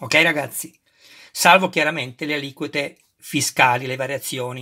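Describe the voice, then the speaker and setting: A man's bright, sharp voice at a fairly slow pace against a quiet background. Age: 50s. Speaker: YouTuber model kit reviewer. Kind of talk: unboxing tutorial. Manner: animated. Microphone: phone near.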